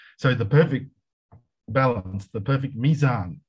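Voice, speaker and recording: A man speaks with an Australian accent at a moderate pace. His voice is somewhat breathy, with ordinary pitch variation. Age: 60s. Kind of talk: casual interview. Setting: video call.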